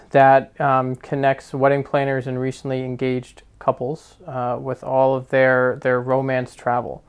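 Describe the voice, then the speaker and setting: At a moderate pace and medium pitch, a man talks in an unremarkable speaking voice. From New Jersey. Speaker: podcast co-host and travel business owner. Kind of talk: casual chat.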